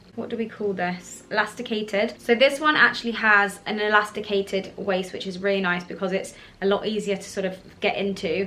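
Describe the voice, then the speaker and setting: Over noticeable background noise, a woman with a southern English accent talks fairly quickly at a medium pitch with fairly even intonation. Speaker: fashion YouTuber. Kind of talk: casual haul video.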